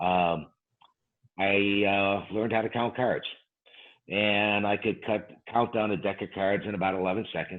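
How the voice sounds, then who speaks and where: With long, frequent pauses, a man speaks at a fairly low pitch in a flat, monotone way. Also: moderate pace. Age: 60s. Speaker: professional gambler and dice control teacher. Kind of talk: interview. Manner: hesitant, many fillers.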